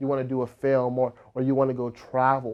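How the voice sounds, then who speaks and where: In a flat, monotone delivery, a man speaks at a medium pitch. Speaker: podcast host; motivational speaker. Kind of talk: casual chat.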